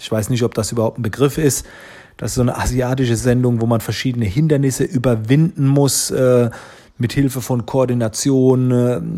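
A man with a medium pitch and a dark, mellow tone speaks at a moderate pace with fairly even intonation. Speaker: photographer and social media entrepreneur. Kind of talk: interview answers. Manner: frequent hesitation fillers.

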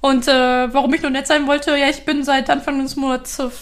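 A woman speaking at a moderate pace. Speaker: software developer podcast co-host. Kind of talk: casual chat.

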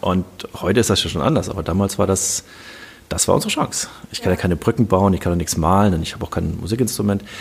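Against noticeable background noise, a man with a fairly low voice speaks at a very fast pace with ordinary pitch variation. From Germany, Kassel (northern Hesse). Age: 50s. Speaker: serial startup founder. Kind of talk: interview.

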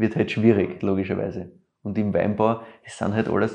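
A man with an Austrian accent speaks at a moderate pace in a fairly low pitch, his tone dark and mellow, against a quiet background. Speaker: wine podcaster. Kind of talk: casual chat.

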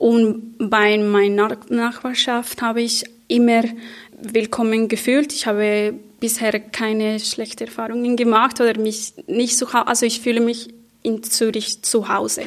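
A woman with a non-native accent talks at a fairly slow pace, her fairly high pitch held in monotone, flat intonation. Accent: foreign accent in German. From Colombia. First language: Spanish (speaking German). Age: 30s. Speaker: social worker. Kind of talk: panel discussion. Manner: halting, searching for words.

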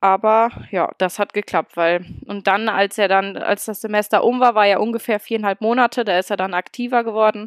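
In a very clean recording with a silent background and a dry, close sound with no echo, a woman with an ordinary speaking voice talks at a moderate pace in a fairly high pitch, with fairly even intonation and hardly any pauses. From Germany, Oberbergisches Land (North Rhine-Westphalia). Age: 20s. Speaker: student teacher and young mother. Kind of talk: podcast interview.

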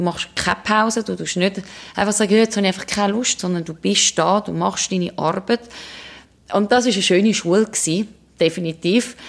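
A woman speaks at a fairly quick pace with a Swiss accent, her medium-pitched voice carrying vocal fry over fairly even intonation. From Switzerland. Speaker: ocean rower and ultramarathon runner. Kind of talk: interview. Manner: halting.

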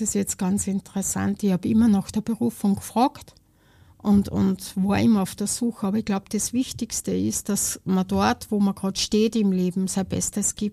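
Someone with an Austrian accent speaks at a moderate pace in a dark, mellow, somewhat breathy tone with fairly even intonation. The sound is dry and close with no echo, on a very clean recording with a silent background. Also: woman. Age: 50s. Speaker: charity volunteer. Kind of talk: casual interview.

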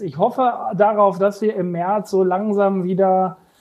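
This man's tone is dark and mellow. His intonation stays fairly even. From Germany, East Westphalia (Lage). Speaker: media sales executive. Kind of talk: casual chat. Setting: remote connection from office.

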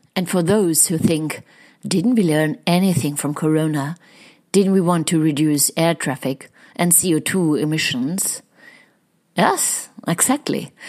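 A woman's fairly low voice in a German accent, with ordinary pitch variation. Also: fairly slow pace. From Germany. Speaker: podcast host and happiness researcher. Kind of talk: scripted intro.

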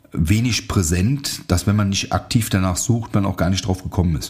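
A man talks with a very deep, low pitch. His voice is somewhat breathy. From Germany, near Aachen. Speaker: martial arts instructor and podcast host. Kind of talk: casual solo podcast monologue.

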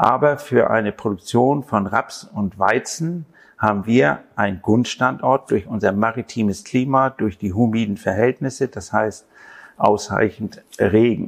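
A man's ordinary speaking voice at medium pitch, fairly slow, with ordinary pitch variation and a quiet background. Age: 60s. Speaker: farmer. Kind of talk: interview.

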